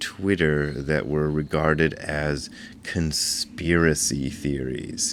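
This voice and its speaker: A man speaks quietly. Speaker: Zen teacher and video blogger. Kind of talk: casual vlog talk. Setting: rented apartment indoors. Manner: quiet, subdued volume.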